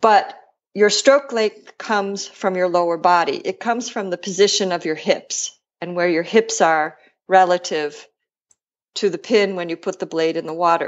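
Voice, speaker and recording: In an American accent, a woman with an ordinary speaking voice talks at a moderate pace, with a medium pitch and ordinary pitch variation. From Buffalo, New York, US. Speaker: rowing coach. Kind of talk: interview.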